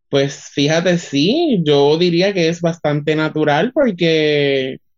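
High pitch from a man, with ordinary variation in pitch. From Puerto Rico, Utuado. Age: 20s. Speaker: communications student and artist. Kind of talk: interview.

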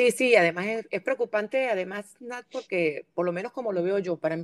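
With a medium pitch and an unremarkable speaking voice, a woman talks at a fairly quick pace with ordinary pitch variation, the sound dry and close with no echo. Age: 50s. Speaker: podcast host. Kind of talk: casual chat.

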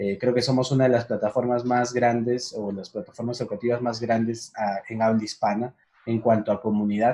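A man's dark, mellow tone holds a medium pitch with monotone, flat intonation. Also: moderate pace. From Peru, Huancayo. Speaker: director of an online education platform. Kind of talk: casual interview on a livestream.

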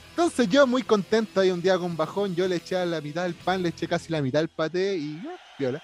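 Amid noticeable background noise, a man speaks at a moderate pace in a high pitch with lively intonation. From Chile. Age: 30s. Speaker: podcast host. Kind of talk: casual chat.

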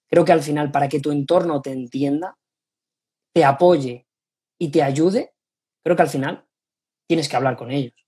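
Leaving long, frequent pauses, a man talks in a fairly high pitch with a somewhat breathy, dark, mellow tone and fairly even intonation. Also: moderate pace. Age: 20s. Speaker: sports nutritionist. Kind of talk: interview.

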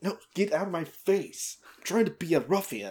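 Someone uses a put-on character voice, raspy and at a middle pitch. The pace is moderate. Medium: actual play. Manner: whiny, panicky, indignant.

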